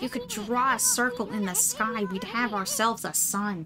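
A put-on character voice with a nasal quality. Clear music plays in the background. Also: female-sounding voice. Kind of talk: comic overacting. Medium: virtual streamer. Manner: brash, chattering, worried.

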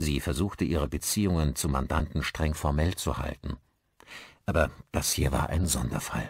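Speaking at a moderate pace, a man with an extremely low pitch, a slightly husky edge, vocal fry and ordinary pitch variation comes through in a very clean recording with a silent background.

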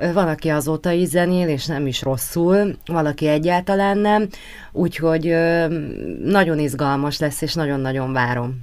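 A woman talks in a very deep, low pitch. Her pace is fairly slow and her pitch variation ordinary. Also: quiet background. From Hungary, Martonvásár; Hungary. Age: 30s. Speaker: pop singer; guest. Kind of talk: radio interview. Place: studio.

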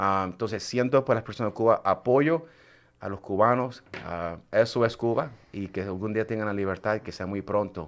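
A man talks at a moderate pace with a fairly low pitch and ordinary pitch variation. His loudness swings widely. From Puerto Rico. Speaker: radio show host. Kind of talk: live talk show, Spanish-English mix; radio show host intro and greetings. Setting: live stream. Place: studio. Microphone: studio mic.

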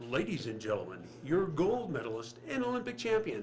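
A man in a booming, put-on character voice talks fairly quickly at a fairly high pitch, with very wide pitch swings and clear background noise. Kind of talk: interview answer. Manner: booming announcer voice.

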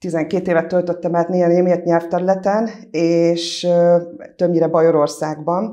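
Her fairly low pitch and dark, mellow tone come through as a woman speaks at a moderate pace. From Felsőgalla, Tatabánya, Hungary (German-speaking village); Hungary. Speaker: local council candidate; council candidate. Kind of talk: candidate self-introduction. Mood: calm, friendly. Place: studio. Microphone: lapel.

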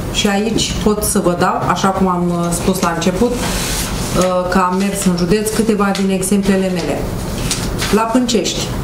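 A woman speaks at a fairly slow pace with long, frequent pauses, over noticeable background noise. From Romania. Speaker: county council candidate. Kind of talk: press conference statement. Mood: critical, dissatisfied. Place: meeting room. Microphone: handheld.

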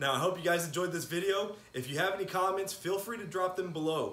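Talking at a fast pace, a man has high pitch, a fairly bright tone and ordinary pitch variation.

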